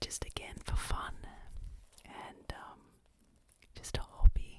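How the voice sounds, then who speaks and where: Noticeable background noise fills the recording. Through it comes a whisper, very slow in pace. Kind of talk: ASMR whisper video; casual talk to camera. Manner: whispered, soft-spoken.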